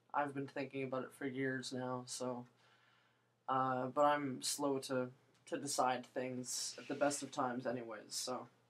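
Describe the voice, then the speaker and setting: A woman with a very deep, low pitch speaks at a fairly slow pace in a monotone, flat intonation. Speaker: vlogger. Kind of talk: casual vlog monologue. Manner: halting, many fillers.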